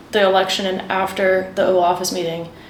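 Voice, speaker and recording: A woman with an American accent speaks at a fairly quick pace and medium pitch. Noticeable background noise and audible room echo surround her voice. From Washington, D.C., US. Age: 20s. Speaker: aid worker at a children's charity. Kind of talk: interview.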